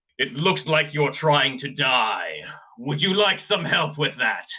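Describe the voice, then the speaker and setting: Using a put-on character voice, a man talks fairly slowly in a raspy, fairly high tone. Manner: ominous and dread-inducing.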